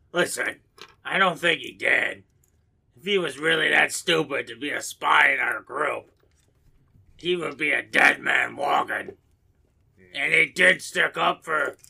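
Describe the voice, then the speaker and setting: A man talks in a raspy, put-on character voice. He moves at a fairly slow pace with long, frequent pauses. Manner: blunt, persuasive, rambling.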